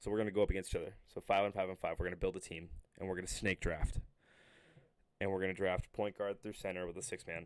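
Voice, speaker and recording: A man's very deep, low voice runs at a very fast pace in a monotone, flat intonation. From Connecticut. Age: 20s. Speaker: college athlete and podcast co-host. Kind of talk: casual chat.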